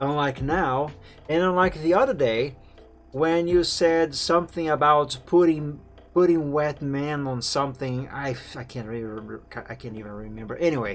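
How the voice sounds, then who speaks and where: At a moderate pace, a man with a slight non-native accent and a fairly high pitch talks over music in the background. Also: ordinary pitch variation, big swings in loudness. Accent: slight foreign. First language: Portuguese. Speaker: game streamer. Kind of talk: casual gaming stream chat.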